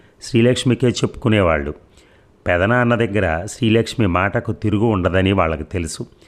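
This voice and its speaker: This man has a normal speaking voice at a fairly low pitch. His pitch variation is ordinary. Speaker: audiobook narrator. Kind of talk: reading aloud.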